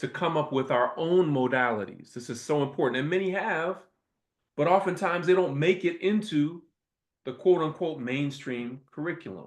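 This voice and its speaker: An animated man with an American accent, fairly high in pitch, at a moderate pace with lively intonation against a quiet background. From US Midwest, Toledo, Ohio. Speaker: professor and invited speaker. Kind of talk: lecture.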